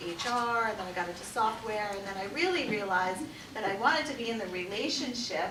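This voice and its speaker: Over noticeable background noise and audible room echo, a woman talks at a very fast pace with an American accent. Her pitch is fairly high, with ordinary pitch variation. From New York. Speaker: marriage and family therapist. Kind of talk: workshop talk.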